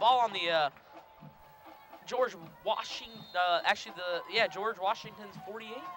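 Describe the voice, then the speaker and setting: Loud and high-pitched, a man with an American accent speaks at a moderate pace, leaving long, frequent pauses. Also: ordinary pitch variation. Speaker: student play-by-play announcer. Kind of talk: live commentary. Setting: press box.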